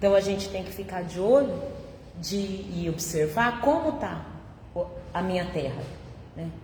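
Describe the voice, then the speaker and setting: With lively intonation, a woman speaks at a fairly slow pace with long, frequent pauses, amid audible room echo and noticeable background noise. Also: medium pitch for a woman. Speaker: spiritist lecturer. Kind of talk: public religious talk. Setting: spiritist centre, live audience. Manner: conversational.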